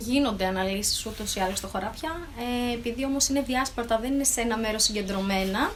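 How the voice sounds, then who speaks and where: A woman with a fairly high pitch and ordinary pitch variation speaks at a fairly quick pace, with noticeable background noise and audible room echo. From Thessaloniki area, northern Greece. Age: 30s. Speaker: vegetable farmer and agronomist. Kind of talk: interview. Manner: hesitant, with fillers.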